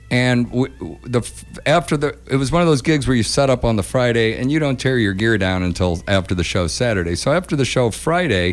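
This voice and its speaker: Music plays in the background as a man speaks at a fairly quick pace, his medium-pitched voice carrying lively intonation. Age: 50s. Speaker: radio host and musician. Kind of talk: casual chat and storytelling. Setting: radio studio. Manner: halting, repeats words.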